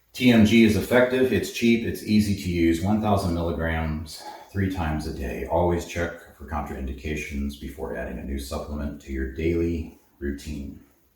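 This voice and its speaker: A man with a very deep, low voice speaks at a moderate pace with lively intonation. His loudness swings widely, and audible room echo is present. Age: 80s+. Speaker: herbalist, supplement shop owner. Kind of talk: tutorial. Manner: casual, with filler words.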